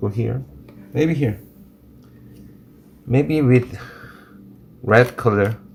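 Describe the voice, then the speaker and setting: Very slow speech from a man in a Korean accent, medium in pitch, with long, frequent pauses. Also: ordinary pitch variation. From South Korea. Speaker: watercolor artist and teacher. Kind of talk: live painting tutorial. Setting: livestream. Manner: halting.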